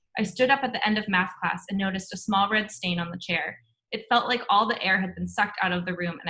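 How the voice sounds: With a quiet background, the clip has a natural reading voice and ordinary pitch variation.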